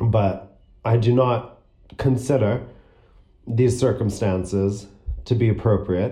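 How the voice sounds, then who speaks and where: A man speaks at a medium pitch in a dark, mellow tone that is somewhat breathy. Audible room echo surrounds his voice. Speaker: student podcaster. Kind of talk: personal monologue. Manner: frequent throat clearing and coughing; labored, difficult speech.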